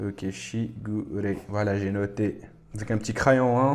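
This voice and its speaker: A man speaks very slowly, his fairly low voice keeping a fairly even intonation. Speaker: anime reaction youtuber. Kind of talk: anime reaction commentary. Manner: casual, chatty.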